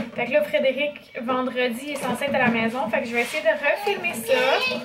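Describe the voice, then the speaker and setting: Over loud background noise, a woman talks in a high pitch with fairly even intonation. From Quebec. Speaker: family vlogger. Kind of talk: casual vlog talk to camera. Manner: chatty, hesitant with fillers.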